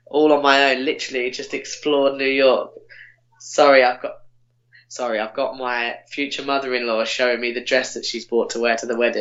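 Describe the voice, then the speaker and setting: A man with an English accent at medium pitch, fairly quick in pace and monotone, flat in intonation. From England. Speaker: podcast guest, former summer camp worker. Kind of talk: casual chat. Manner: halting.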